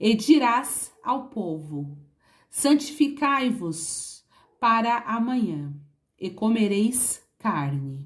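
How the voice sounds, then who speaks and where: Speaking at a very slow pace, a woman at medium pitch makes very wide pitch swings. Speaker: Bible reader. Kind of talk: Bible reading.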